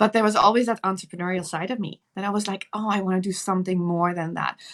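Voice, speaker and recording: Speaking in a Dutch accent, a woman goes very fast at medium pitch with fairly even intonation. The recording is very clean, with a silent background. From Netherlands. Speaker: nurse and entrepreneur. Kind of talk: interview.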